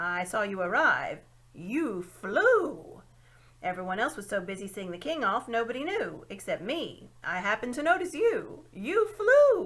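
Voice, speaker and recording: A put-on character voice, female-sounding and high-pitched, at a moderate pace. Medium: read story. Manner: hooting, fussy.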